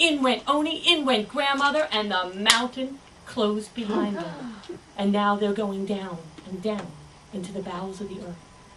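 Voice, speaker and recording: Noticeable background noise sits under a woman with a fairly high pitch. Her intonation is lively and her pace moderate. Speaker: storyteller. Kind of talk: live storytelling performance. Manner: lively, expressive.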